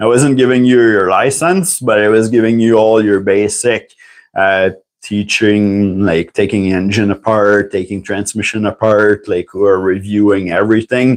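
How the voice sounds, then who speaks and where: At a moderate pace, a man with a French accent speaks in a fairly low pitch with fairly even intonation against a quiet background. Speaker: tool reviewer and licensed mechanic. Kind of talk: casual livestream talk. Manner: halting, many fillers.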